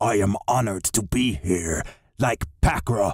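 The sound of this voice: A growling, guttural put-on character voice. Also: man, fairly low pitch for a man, fairly slow pace.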